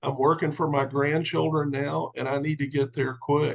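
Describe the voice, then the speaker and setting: A man's fairly high-pitched voice comes through somewhat breathy. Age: 60s. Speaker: commercial real estate businessman and sales recruit. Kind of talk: testimony on a team call.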